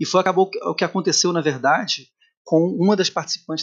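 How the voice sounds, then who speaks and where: The speaker is a man. He talks at a moderate pace. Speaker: local news host. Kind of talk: news report with commentary. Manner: hesitant, filler-heavy.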